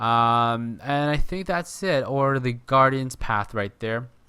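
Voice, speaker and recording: The voice has a bright, sharp tone and lively intonation. The recording is very clean, with a silent background. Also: man. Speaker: gaming video creator. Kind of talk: gameplay tutorial. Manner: halting, many fillers and restarts.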